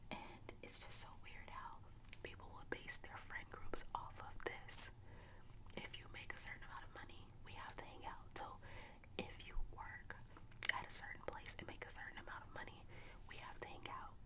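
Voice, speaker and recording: A woman whispers at a moderate pace, stopping often for long pauses. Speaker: vlogger. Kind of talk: casual vlog chat, opinion talk. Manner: close-mic ASMR whisper, chatty. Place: home room. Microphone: studio mic.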